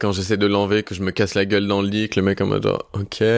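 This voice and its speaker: A man's fairly low-pitched voice in a very clean recording with a silent background. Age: 20s. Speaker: Instagram content creator. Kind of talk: personal testimony in interview.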